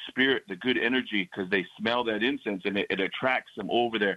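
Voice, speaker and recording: A man talks at a medium pitch in an unremarkable speaking voice. His intonation is fairly even. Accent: American. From Northern Cheyenne, US Plains. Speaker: powwow announcer. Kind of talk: radio interview. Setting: phone call.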